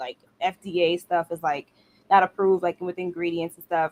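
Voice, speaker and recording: Speaking fairly quickly, a woman with a New York accent talks at a fairly low pitch. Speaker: nail technician. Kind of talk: casual chat.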